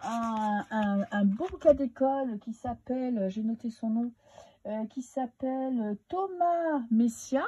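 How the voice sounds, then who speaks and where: Speaking at a very slow pace, a woman uses a high pitch with a dark, mellow tone and lively intonation. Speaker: tarot card reader. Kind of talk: casual monologue. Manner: hesitant, many filler sounds.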